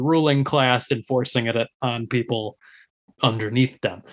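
On a very clean recording with a silent background, a man with a plain, everyday voice talks at medium pitch and a moderate pace, with ordinary pitch variation. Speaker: podcast co-host. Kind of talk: casual banter, comedic chat.

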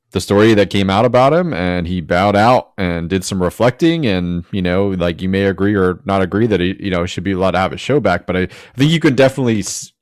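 A man with an American accent and a plain, everyday voice, fairly low in pitch with ordinary pitch variation. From Jacksonville, Florida. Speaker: podcast host. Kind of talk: casual chat. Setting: remote video/voice call.

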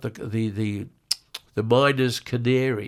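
An Australian-accented man at medium pitch, on a very clean recording with a silent background. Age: 80s+. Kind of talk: casual chat. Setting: studio.

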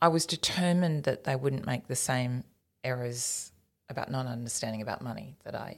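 In a very clean recording with a silent background, a woman with a very deep, low pitch speaks at a moderate pace with an Australian accent. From rural New South Wales, Australia. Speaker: business executive, former broadcaster. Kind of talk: interview.

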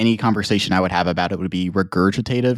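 Very deep, low pitch from a man on a very clean recording with a silent background. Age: 20s. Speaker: podcast host. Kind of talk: casual chat.

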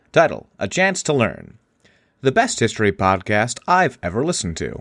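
A man's medium-pitched voice with vocal fry and very wide pitch swings at a fairly quick pace, on a very clean recording with a silent background. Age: 30s. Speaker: podcast host. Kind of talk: casual comedic chat. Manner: animated, joking.

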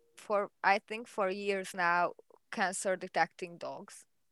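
A woman with a Hungarian accent, medium pitch, a very slow pace and monotone, flat intonation. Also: big swings in loudness, dry, close sound with no echo. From Hungary. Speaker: animal behavior researcher. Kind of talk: interview. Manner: halting.

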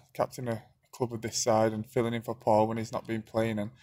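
The man's voice is medium-pitched and somewhat breathy. He speaks at a fairly quick pace. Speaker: footballer. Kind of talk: interview answers.

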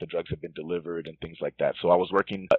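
With a General American accent, a man speaks in a very deep, low pitch. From Northern Virginia. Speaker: pharmacist. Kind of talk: interview.

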